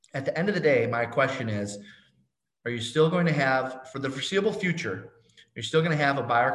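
Audible room echo surrounds a man who talks at a very fast pace with lively intonation. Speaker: real estate agent and coach. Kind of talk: interview.

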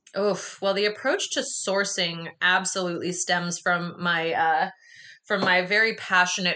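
Over noticeable background noise, a woman with a fairly low pitch speaks with an American accent and fairly even intonation. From US, rural commune. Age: 30s. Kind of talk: casual interview.

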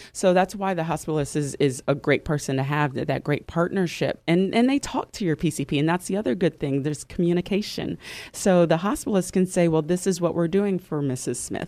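A woman has an ordinary speaking voice, fairly low in pitch with ordinary pitch variation. She talks at a fairly quick pace in a very clean recording with a silent background. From moved around: Louisiana, Cincinnati, Dallas, Chicago. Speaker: registered nurse. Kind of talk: radio interview. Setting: radio studio.

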